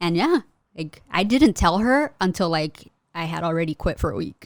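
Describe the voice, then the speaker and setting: Here a woman has a normal speaking voice, fairly low in pitch, at a moderate pace. The recording is very clean with a silent background, and the sound is dry and close with no echo. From US, Mexican immigrant household. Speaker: custom merch artist and small business owner. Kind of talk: casual interview chat.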